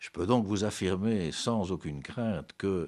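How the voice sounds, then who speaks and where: A man is talking. The recording is very clean and the background silent. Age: 60s. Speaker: businessman. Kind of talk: interview. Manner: formal.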